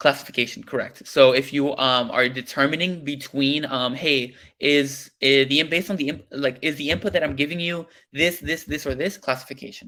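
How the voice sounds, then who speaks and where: The voice has a bright, sharp tone and ordinary pitch variation. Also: man. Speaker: workshop instructor. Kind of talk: technical workshop lecture. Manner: fast; hesitant, many fillers.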